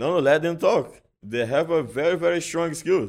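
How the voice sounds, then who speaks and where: A man speaks at a moderate pace in a Portuguese accent. The recording is very clean, with a silent background. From Brazil. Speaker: jiu-jitsu champion and instructor. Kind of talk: interview. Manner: halting.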